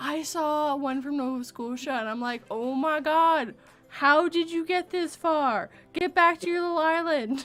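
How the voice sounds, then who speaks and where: Someone with a Canadian accent speaks at a fairly slow pace with ordinary pitch variation, on a very clean recording with a silent background. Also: woman, high pitch for a woman. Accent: Canadian accent, shows on some words. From Vancouver area, British Columbia, Canada. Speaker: live stream chat host. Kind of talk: casual chat. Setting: live stream.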